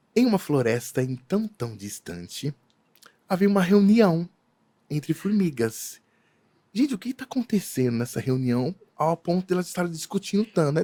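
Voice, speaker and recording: Recorded dry and close with no echo, a man with a high pitch and a dark, mellow tone talks at a moderate pace, his pitch swinging very widely. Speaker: event decorator. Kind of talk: casual chat.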